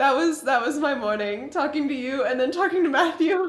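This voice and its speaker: A woman talks at a moderate pace with lively intonation, and audible room echo surrounds her voice. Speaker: podcast co-host. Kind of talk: casual chat.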